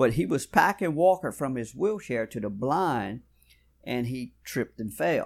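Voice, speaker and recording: With a Louisiana accent, a man talks at medium pitch, his intonation lively. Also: very clean recording, silent background. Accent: Louisiana Southern. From South Louisiana. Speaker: bowhunter. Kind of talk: casual interview chat. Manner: polite, uses Mr. and Ma'am.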